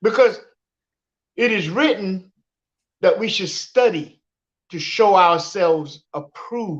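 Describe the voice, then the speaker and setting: A woman speaks very slowly, her intonation lively and her loudness swinging widely. She leaves long, frequent pauses. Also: medium pitch for a woman. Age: 60s. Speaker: livestream guest. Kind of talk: live stream discussion.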